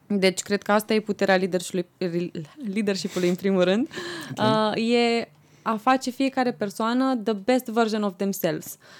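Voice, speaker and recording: Medium in pitch with ordinary variation, a woman talks at a moderate pace and very even loudness, the sound dry and close with no echo but with noticeable background noise. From Romania, Argeș county. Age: 20s. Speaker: president of a student organization. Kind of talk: podcast interview.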